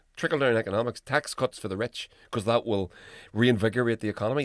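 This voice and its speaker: At a very fast pace, a man with a medium pitch speaks in a dry, close sound with no echo on a very clean recording with a silent background. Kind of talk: podcast host commentary; casual talk to camera. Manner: conversational, emphatic, swearing.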